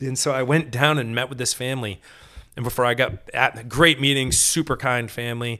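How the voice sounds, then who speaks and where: A man with an American accent, medium pitch, fairly quick pace, bright, sharp tone and big swings in loudness. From Maine, US. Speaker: mountain bike racer and youth cycling program organizer. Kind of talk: casual chat. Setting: home studio at kitchen table. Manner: animated.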